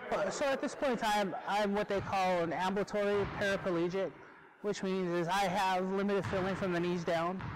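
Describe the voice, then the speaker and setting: A man with a high voice speaks at a moderate pace, his intonation fairly even and his loudness very even. Background noise is noticeable. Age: 40s. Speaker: wheelchair athlete. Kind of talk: interview testimony.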